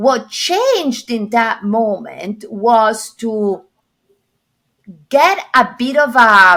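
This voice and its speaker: In an Italian accent, a woman speaks at a fairly high pitch with lively intonation. Her tone is bright and sharp. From Italy. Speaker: corporate executive and coach. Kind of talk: podcast interview.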